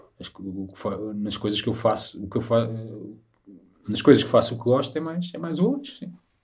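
Somewhat breathy and at a medium pitch, a man talks at a fairly quick pace with lively intonation, broken by long, frequent pauses. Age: 30s. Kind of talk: casual chat.

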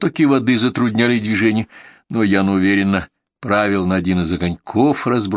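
A natural voice reading aloud, the background quiet

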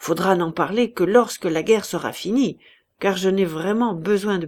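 Ordinary pitch variation in plain reading aloud, quiet background behind it

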